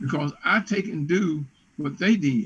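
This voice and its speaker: Speaking very slowly in an American accent, a man uses a high pitch and lively intonation. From West Virginia. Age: 70s. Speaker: business consultant. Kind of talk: interview. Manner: animated.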